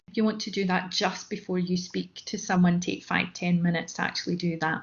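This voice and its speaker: Somewhat breathy and at medium pitch, a woman speaks with a monotone, flat intonation. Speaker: mentoring session trainer. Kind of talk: online training talk. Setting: online session from home dining room. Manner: hesitant with fillers.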